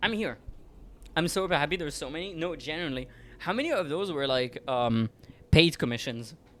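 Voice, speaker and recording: Speaking at a fairly quick pace, a man talks with a French accent. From France. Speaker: vtuber streamer. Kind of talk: casual chat; reading aloud. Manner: halting.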